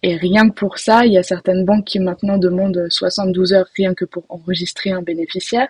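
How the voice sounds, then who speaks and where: A somewhat breathy woman speaks with fairly even intonation in a dry, close sound with no echo. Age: 20s. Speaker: rental department employee. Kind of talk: casual interview.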